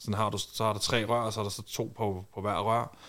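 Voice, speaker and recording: A man talks at a fairly low pitch, his intonation monotone and flat, on a very clean recording with a silent background. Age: 30s. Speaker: reality TV personality and war veteran. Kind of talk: casual chat. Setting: studio.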